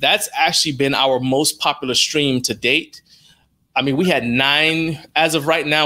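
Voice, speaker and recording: Against a quiet background, a man with a bright, sharp tone speaks at a fairly slow pace with fairly even intonation. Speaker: interview guest. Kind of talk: interview answer.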